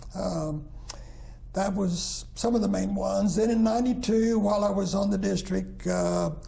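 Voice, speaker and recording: A man with an American accent talks at a moderate pace with very even loudness. Audible room echo and noticeable background noise fill the recording. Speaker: retired minister. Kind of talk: interview. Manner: halting, many fillers.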